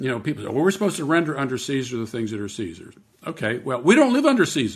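With an American accent, a man talks with very wide pitch swings and vocal fry. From US, Pittsburgh, Pennsylvania. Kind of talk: interview.

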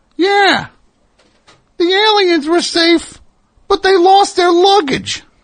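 Squeaky and extremely high, a put-on character voice crawls along at a very slow pace with long, frequent pauses. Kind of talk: comic. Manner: joking, cheeky.

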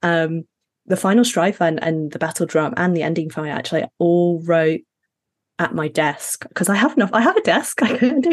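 A woman talks with a British accent at a medium pitch. Her pace is moderate and her intonation lively. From Middle East and Sheffield, UK. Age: 30s. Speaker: fantasy author. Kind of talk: casual interview.

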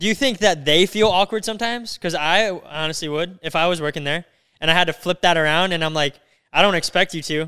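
On a very clean recording with a silent background and a dry, close sound with no echo, a man speaks at a very fast pace with a high pitch, a bright, sharp tone and ordinary pitch variation. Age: 20s. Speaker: podcast host. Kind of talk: casual chat. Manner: animated.

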